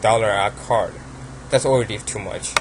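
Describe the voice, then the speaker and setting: With a Chinese accent, a man at medium pitch talks in a fairly even intonation over noticeable background noise. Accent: Asian accent (Chinese). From China. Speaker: card game YouTuber. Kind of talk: casual deck profile talk. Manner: halting, many fillers.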